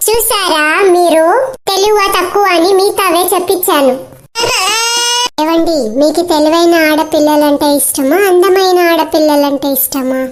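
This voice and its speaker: A woman speaks in a put-on character voice, fairly slowly, at an extremely high pitch. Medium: voice reel. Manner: dramatic, whiny.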